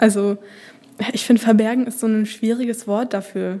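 Over noticeable background noise, a woman speaks at a fairly high pitch in a monotone, flat intonation. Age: 20s. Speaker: social work student. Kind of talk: casual chat. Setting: studio.

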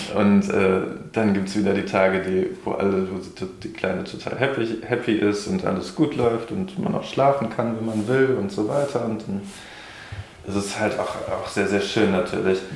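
There is audible room echo and noticeable background noise. Through it, a man speaks at a fairly low pitch. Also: ordinary pitch variation, moderate pace. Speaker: old school friend living without consumption. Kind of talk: casual chat.

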